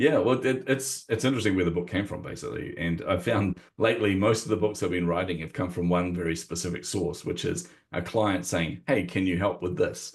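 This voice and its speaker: A man with a New Zealand accent speaks at a fairly quick pace, his very deep, low voice somewhat breathy. His intonation is lively. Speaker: marketing coach and author. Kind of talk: interview conversation.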